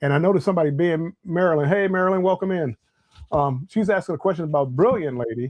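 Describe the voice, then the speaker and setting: Talking at a very fast pace, a man has a high pitch and ordinary pitch variation. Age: 60s. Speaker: travel livestream host, retired civil servant. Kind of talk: casual livestream chat. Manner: halting, many repeated words.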